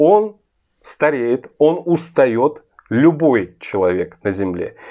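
A man's voice with very wide pitch swings, set against a quiet background. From Russia. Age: 40s. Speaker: political commentator. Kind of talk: video monologue. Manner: earnest. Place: home room. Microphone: phone near.

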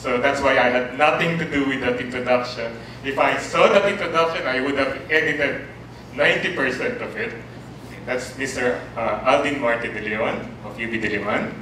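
Over light background noise and audible room echo, a man talks with ordinary pitch variation. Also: moderate pace. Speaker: university lecturer. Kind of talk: lecture. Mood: warm, lightly humorous. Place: classroom.

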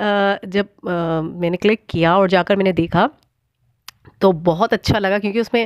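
Very slow speech from a woman at medium pitch, fairly even intonation, dry, close sound with no echo. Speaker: spiritual channeler / tarot-style reader vlogger. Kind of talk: casual monologue to viewers.

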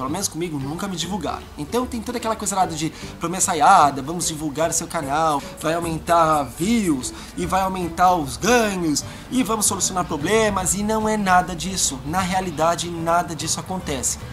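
Over clear background music, a man with a high pitch speaks at a moderate pace with ordinary pitch variation. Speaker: video blogger. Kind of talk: casual vlog chat. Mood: annoyed, animated storytelling. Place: garden. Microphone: camera far.

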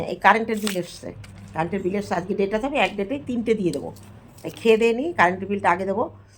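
A plain, everyday voice, a woman's at medium pitch, with ordinary pitch variation. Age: middle-aged. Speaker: vlogger. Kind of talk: casual vlog talk to camera.

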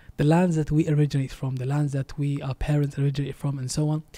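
Speaking very fast with a non-native accent, a man has a fairly high pitch and a dark, mellow, somewhat breathy tone. His intonation is monotone and flat. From Denmark. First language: not Arabic (speaking Arabic). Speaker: Islamic preacher. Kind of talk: preaching message in English; interview. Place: studio. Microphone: studio mic.

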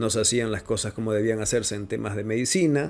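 At a fairly quick pace, a man uses a normal speaking voice with ordinary pitch variation. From Ecuador, Manabí coast. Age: 30s. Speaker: voice-over artist and digital media producer. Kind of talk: interview. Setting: home studio. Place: studio. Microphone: studio mic.

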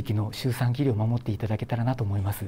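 Light background noise accompanies a man whose somewhat breathy voice has a dark, mellow tone. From Japan, Shimane (Hamada); Shimane, Japan. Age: 40s. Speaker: obstetrician. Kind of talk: news interview statement. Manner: formal. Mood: calm, earnest, polite. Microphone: lapel.

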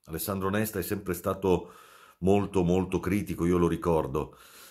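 A man speaks at a moderate pace over a quiet background. His very deep, low pitch carries vocal fry. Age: 50s. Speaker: football commentator. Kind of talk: casual video monologue. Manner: halting, with many fillers. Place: home room. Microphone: phone near.

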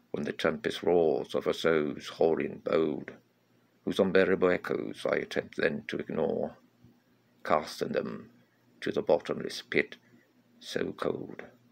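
In a solemn, dramatic tone, a man speaks at a fairly slow pace with long, frequent pauses. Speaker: poet. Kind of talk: poetry reading of a dark, archaic gothic poem. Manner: formal, solemn, dramatic.

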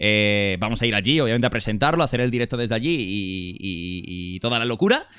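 Over a quiet background, a man with a bright, sharp tone talks at a fairly quick pace with hardly any pauses, ordinary pitch variation and a dry sound with no echo. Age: 20s. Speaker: streamer. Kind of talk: livestream chat. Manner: animated. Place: home room. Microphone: studio mic.

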